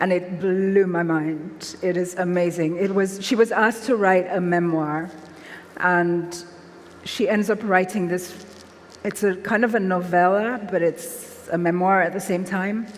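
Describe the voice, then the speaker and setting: Amid noticeable background noise, a woman talks fairly slowly at a medium pitch with fairly even intonation. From Nigeria, Lagos. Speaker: author. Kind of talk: literary festival conversation.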